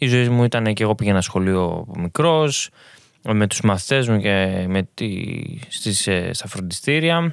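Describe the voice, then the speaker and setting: A man speaks in an ordinary speaking voice, fairly low-pitched, at a fairly slow pace with lively intonation. The recording is very clean, with a silent background. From Greece. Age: young. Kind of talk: testimony.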